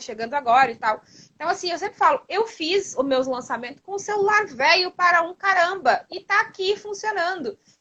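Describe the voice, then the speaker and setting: Energetic and bright, sharp in tone, the raised, projected voice moves at a fairly quick pace with lively intonation. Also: woman. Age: 30s. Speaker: online entrepreneur, mentor. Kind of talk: interview on a live stream. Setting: live stream from her phone. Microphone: old smartphone.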